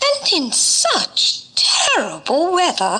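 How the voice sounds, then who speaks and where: Pitched extremely high, this put-on character voice moves at a very slow pace. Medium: read story.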